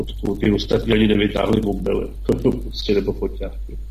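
A man talks fairly quickly amid noticeable background noise. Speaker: regular co-host discussing history and politics. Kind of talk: casual radio discussion.

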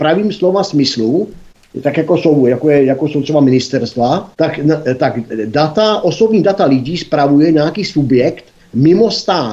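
A man's fairly high voice, dark and mellow in tone, with lively intonation at a moderate pace. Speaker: institute board member, commentator. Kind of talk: casual political discussion.

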